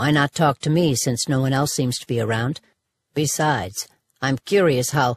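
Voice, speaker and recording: A put-on character voice at a moderate pace, with ordinary pitch variation and a dry, close sound with no echo. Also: woman, very deep, low pitch for a woman. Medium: read story. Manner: curt, provocative, challenging.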